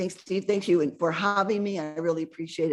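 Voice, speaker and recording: A woman is speaking. Her pace is very fast. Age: 60s. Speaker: author. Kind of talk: interview.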